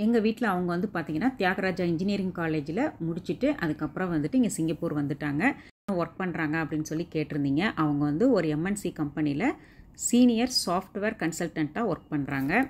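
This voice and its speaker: A woman speaks in a normal speaking voice, fairly low in pitch and with lively intonation. The recording is very clean, with a silent background. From Tamil Nadu, Erode. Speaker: vlogger. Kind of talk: casual vlog narration.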